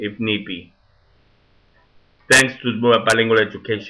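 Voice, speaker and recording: Speaking with a non-native accent, a man keeps to a moderate pace. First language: Spanish. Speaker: teacher. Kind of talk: monologue.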